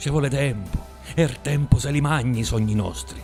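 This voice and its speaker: Music plays in the background as a man talks at a moderate pace with ordinary pitch variation. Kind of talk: poetry reading.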